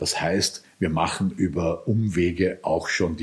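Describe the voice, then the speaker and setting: Somewhat breathy, a man's very deep, low voice shows ordinary pitch variation. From Lower Austria. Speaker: farmer and EU politician. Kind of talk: interview.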